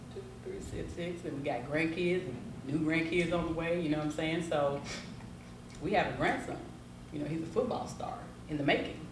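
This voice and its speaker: Amid noticeable background noise and audible room echo, a woman with a very deep, low pitch speaks at a moderate pace with ordinary pitch variation. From Tennessee, Memphis. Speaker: cigar shop owner. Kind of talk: casual interview. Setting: cigar lounge.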